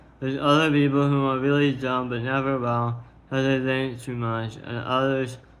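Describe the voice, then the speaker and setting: Audible room echo surrounds a man's voice. He speaks in a flat monotone. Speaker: streamer. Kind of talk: monologue reading own tweets. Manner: slow.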